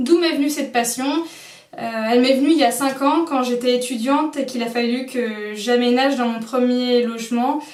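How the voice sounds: Speaking at a moderate pace with fairly even intonation, a woman's fairly high voice carries audible room echo.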